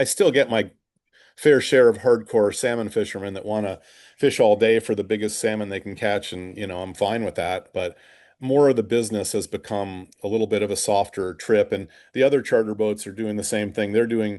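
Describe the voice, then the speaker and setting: A man's normal speaking voice, fairly low in pitch, with fairly even intonation at a fairly quick pace against a quiet background. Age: 60s. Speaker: fishing charter captain. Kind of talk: podcast interview.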